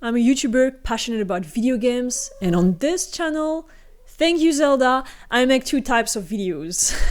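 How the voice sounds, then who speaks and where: A woman speaks in a high voice with a French accent. Her intonation is lively. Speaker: gaming YouTuber. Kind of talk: casual talk to camera.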